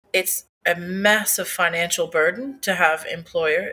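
A woman speaks with a bright, sharp tone at a fairly slow pace. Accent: Newfoundland. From Newfoundland, Canada. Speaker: cafe owner and artist. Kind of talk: interview. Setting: in her cafe.

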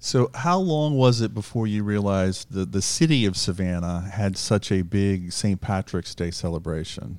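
A man talks in an ordinary speaking voice with fairly low pitch and lively intonation. His pace is moderate, with hardly any pauses. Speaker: radio host. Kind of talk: interview.

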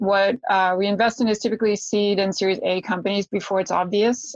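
An ordinary speaking voice from a woman, medium in pitch, at a fairly quick pace with fairly even intonation. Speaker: venture capital partner. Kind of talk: panel discussion.

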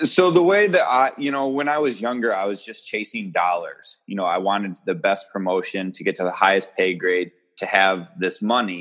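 A plain, everyday voice at a moderate pace, with lively intonation and hardly any pauses. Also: man, fairly low pitch for a man. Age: 30s. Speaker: entrepreneur and firearms instructor. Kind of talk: casual chat.

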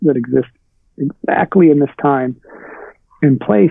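A man speaks at a fairly slow pace in a fairly high pitch, with ordinary pitch variation. He has an ordinary speaking voice. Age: 40s. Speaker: writer and writing teacher. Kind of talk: interview.

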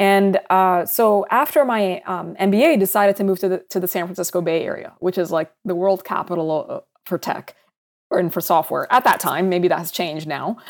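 Speaking at a moderate pace with an American accent, a woman has a medium pitch and ordinary pitch variation. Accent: American-sounding from international school. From Saudi Arabia (Sudanese family), American international school. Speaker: startup founder and CEO, physician. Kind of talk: interview.

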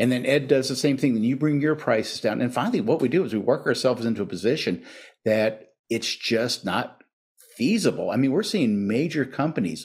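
A man talks at a moderate pace at medium pitch. He has an unremarkable speaking voice. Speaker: retired police officer, drug policy coordinator. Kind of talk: casual interview.

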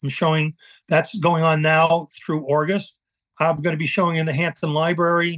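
A man with a Long Island accent speaks in a bright, sharp tone at a fairly high pitch. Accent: Long Island New York. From US Northeast, eastern Long Island, New York. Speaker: Vietnam veteran and painter. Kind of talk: personal testimony in interview. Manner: halting, many repetitions and fillers.

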